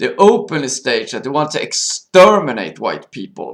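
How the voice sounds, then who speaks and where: A man speaks at a fairly slow pace with a Swedish accent. His voice has vocal fry. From Sweden. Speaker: video blogger. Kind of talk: monologue commentary. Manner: halting.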